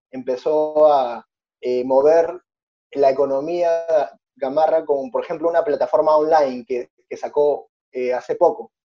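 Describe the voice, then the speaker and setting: A man speaks with a dark, mellow tone. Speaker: podcast host. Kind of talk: interview.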